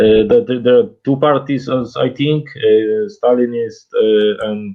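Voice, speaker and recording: A man's medium-pitched voice with a Polish accent, ordinary pitch variation and a fairly slow pace. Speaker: caller. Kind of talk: casual chat. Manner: halting.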